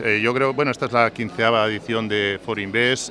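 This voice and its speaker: A man at medium pitch with monotone, flat intonation over noticeable background noise. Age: 50s. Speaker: insurance executive. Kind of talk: radio interview.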